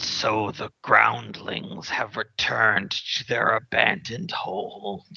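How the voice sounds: This put-on character voice is gravelly and raspy and moves at a very slow pace. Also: man, medium pitch for a man.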